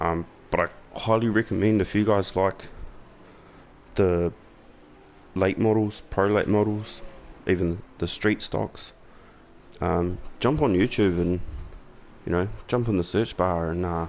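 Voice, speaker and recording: Here is a man with a New Zealand accent and a very deep, low pitch. His intonation stays fairly even, broken by long, frequent pauses. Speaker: gaming YouTuber. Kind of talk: gameplay commentary. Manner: casual, with frequent fillers.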